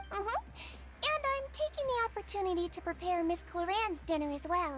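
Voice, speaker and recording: Someone does a put-on character voice at a fairly quick pace, with background noise clearly heard. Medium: video game. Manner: gentle, sweet, caring.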